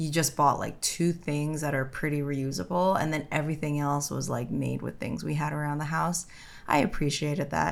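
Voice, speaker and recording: With an American accent, a woman talks in a very deep, low pitch and fairly even intonation. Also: moderate pace. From New York City (Brooklyn, Bensonhurst). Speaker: podcast co-host. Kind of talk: casual chat.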